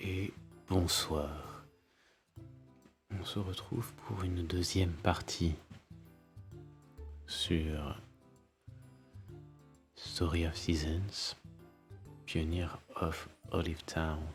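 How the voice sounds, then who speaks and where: With music in the background, a man with a very deep, low pitch talks at a very slow pace, using fairly even intonation and long, frequent pauses. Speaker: ASMR gaming creator. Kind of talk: ASMR let's play commentary. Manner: whispered.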